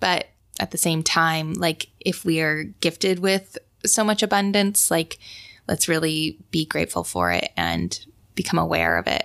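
A woman with an American accent talks at a fairly slow pace, her loudness very even. The recording is very clean with a silent background, and the sound is dry and close with no echo. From Idaho (Sun Valley). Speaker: figure skater and artist. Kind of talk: casual interview chat.

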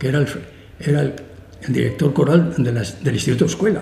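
Amid noticeable background noise and audible room echo, a man with a fairly high pitch and ordinary pitch variation speaks at a fairly quick pace. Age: old. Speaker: classical music concert promoter. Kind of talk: interview conversation. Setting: auditorium with live audience.

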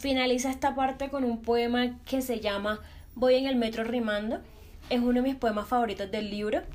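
A high-pitched woman at a moderate pace, fairly even in intonation, with music in the background. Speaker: podcast host. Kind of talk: casual chat.

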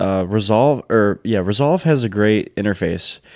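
Here is a man with an American accent and an unremarkable speaking voice. His pitch is medium and his intonation lively. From Michigan, Detroit downriver area. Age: 20s. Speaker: wedding photographer and videographer, business owner. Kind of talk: casual interview chat.

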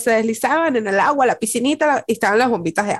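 Against a quiet background, a woman's voice moves through very wide pitch swings. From Latin America. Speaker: podcast co-host. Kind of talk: casual chat.

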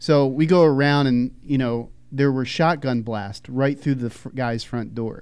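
With an American accent, a man speaks in an unremarkable speaking voice at a medium pitch, at a fairly slow pace with fairly even intonation and hardly any pauses. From Philadelphia, US. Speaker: podcast co-host, IT worker. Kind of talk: casual chat.

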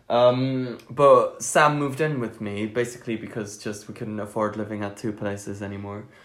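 The voice carries a Flemish accent and big swings in loudness. There are hardly any pauses. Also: man, medium pitch for a man, moderate pace. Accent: Flemish Belgian English. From Belgium. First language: Dutch. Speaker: podcast co-host. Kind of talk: casual chat. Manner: animated.

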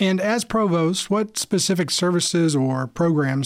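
Here is a man with a normal speaking voice, fairly high in pitch with ordinary pitch variation. He talks at a fairly slow pace in a very clean recording with a silent background. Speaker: podcast host. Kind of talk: scripted intro with casual interview.

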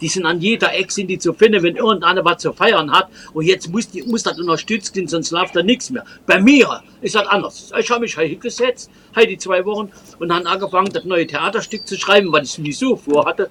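A raised, projected voice moves at a fairly quick pace with ordinary pitch variation. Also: man, high pitch for a man. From Trier, Germany. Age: old. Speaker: folk musician and tour guide. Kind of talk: interview. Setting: video call.

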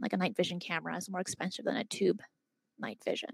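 A woman's medium-pitched voice with vocal fry. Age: 20s. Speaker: YouTube host and UFO content creator. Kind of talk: podcast interview. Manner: halting, mixes up words.

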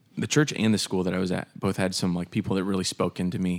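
A man with an American accent talks at a fairly quick pace, his pitch very deep and low. His intonation is fairly even, and the recording is very clean with a silent background. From Pennsylvania, Harrisburg area. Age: 30s. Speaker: church worship director. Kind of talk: casual chat. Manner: halting.

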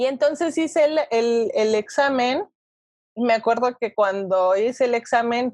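A plain, everyday voice with lively intonation, recorded with a dry, close sound and no echo. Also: woman. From Mexico, Toluca. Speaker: nutritionist. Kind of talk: interview.

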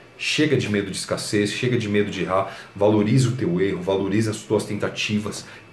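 A man speaks at a moderate pace in a fairly low voice with ordinary pitch variation. Noticeable background noise and audible room echo are present. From Brazil, São Paulo. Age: 30s. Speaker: YouTuber and blogger on personal development. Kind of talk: motivational talk to camera. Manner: casual, conversational.

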